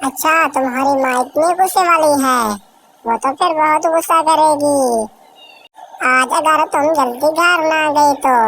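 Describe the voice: A woman speaks at a fairly slow pace in a cartoonish character voice, high-pitched, with fairly even intonation.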